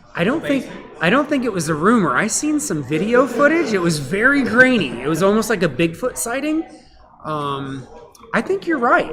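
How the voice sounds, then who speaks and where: Over noticeable background noise, a man speaks at a moderate pace in a high voice with very wide pitch swings. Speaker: event commentator. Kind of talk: live commentary. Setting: commentating booth at live event.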